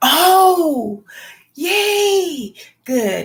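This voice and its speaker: With an animated tone, a woman speaks at an extremely high pitch with very wide pitch swings. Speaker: homesteading vlogger. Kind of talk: casual live stream chat with viewers.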